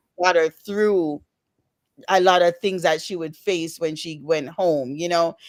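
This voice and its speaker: A woman speaks with a Jamaican accent at a fairly low pitch. Her pace is fairly slow and her intonation fairly even. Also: very clean recording, silent background. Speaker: author. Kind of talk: interview. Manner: halting.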